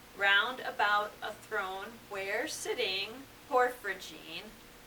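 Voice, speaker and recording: A woman speaks very slowly at a medium pitch with ordinary pitch variation. Noticeable background noise runs underneath. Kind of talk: poetry reading.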